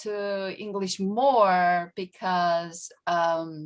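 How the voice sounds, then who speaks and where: This is a woman speaking with a Korean accent. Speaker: education professor. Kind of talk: panel Q&A. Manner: halting, many fillers.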